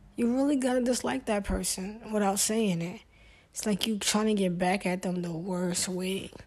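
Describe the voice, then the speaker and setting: In a Brooklyn accent, a woman speaks at medium pitch and a moderate pace. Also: ordinary pitch variation. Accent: New York (Brooklyn). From US Northeast, Brooklyn, New York. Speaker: podcast host. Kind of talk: solo casual monologue.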